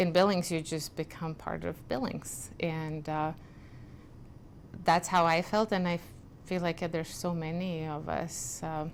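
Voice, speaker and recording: With a Lithuanian accent, a woman talks at a fairly slow pace with fairly even intonation and long, frequent pauses. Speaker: community group founder. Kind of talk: interview.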